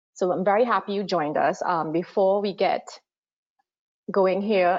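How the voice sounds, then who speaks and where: In a Trinidadian accent, a woman speaks at medium pitch and a fairly quick pace. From Trinidad and Tobago. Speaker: water affordability consultant. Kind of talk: webinar presentation. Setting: online webinar.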